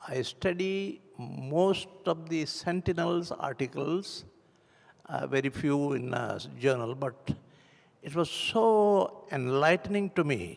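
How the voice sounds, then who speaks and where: Speaking very slowly with an Indian accent, a man uses lively intonation and a fairly high pitch. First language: Hindi. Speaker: church member giving testimony. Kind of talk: testimony. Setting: church. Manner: halting.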